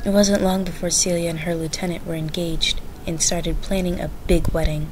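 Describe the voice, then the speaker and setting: A woman's fairly low, monotone, flat voice at a fairly quick pace, amid audible room echo and noticeable background noise. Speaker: storyteller. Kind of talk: reading aloud.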